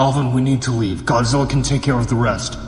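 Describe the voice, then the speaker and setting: Putting on a character voice at medium pitch, a man talks at a very fast pace with clear echo and clear background noise. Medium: audio drama. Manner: blunt.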